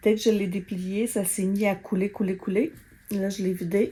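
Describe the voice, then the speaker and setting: Speaking at a fairly slow pace, a woman has a medium-pitched voice with a dark, mellow tone. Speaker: vlogger. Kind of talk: casual vlog talk. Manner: halting.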